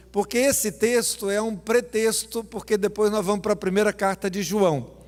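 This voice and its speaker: This man has a high pitch. His pace is moderate. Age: 60s. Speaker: pastor. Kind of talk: sermon. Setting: church.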